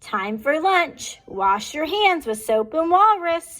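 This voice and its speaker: In a put-on character voice, the speaker projects a raised, high-pitched voice with very wide pitch swings at a fairly slow pace. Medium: read story. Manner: cheerful, playful.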